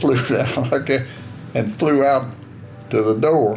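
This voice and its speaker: Over noticeable background noise, a man talks at a moderate pace with fairly even intonation and a medium pitch. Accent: Southern US. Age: 80s+. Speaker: war veteran. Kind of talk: interview answer. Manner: reminiscing, folksy storytelling.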